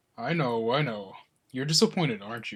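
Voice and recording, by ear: A man performs a put-on character voice at medium pitch. His intonation is lively and his pace fairly quick.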